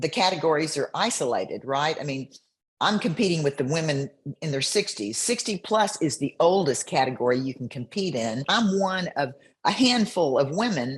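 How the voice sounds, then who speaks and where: A woman with a very deep, low pitch and very wide swings in it talks at a moderate pace, her voice somewhat breathy against a quiet background. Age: 70s. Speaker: bikini competitor. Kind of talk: interview answer.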